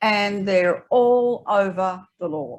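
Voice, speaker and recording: Here is a woman with an Australian accent. Her medium-pitched voice has lively intonation. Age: 80s+. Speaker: author. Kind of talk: audience Q&A at author talk. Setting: library event with audience.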